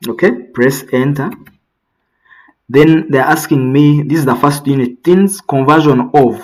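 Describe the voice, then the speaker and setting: This man talks at a fairly slow pace, his pitch fairly high. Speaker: accounting software tutor. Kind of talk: tutorial. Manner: slow, deliberate pace.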